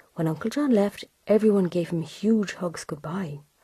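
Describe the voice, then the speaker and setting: A woman speaks with a Cork accent at a moderate pace. Her tone is dark and mellow, and her voice is somewhat breathy. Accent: Irish, Cork. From Cork, Ireland. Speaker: storyteller. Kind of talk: children's story reading.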